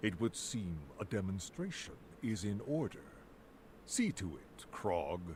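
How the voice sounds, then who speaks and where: Using a put-on character voice at a fairly low pitch, a man talks at a fairly slow pace with long, frequent pauses over clear background noise. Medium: video game. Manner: smooth, self-assured.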